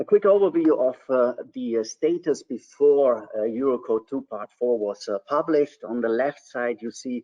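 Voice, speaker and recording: This man has a German accent and a medium pitch. He talks at a moderate pace with ordinary pitch variation. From Germany. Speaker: civil engineer. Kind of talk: technical webinar presentation. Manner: hesitant, many fillers.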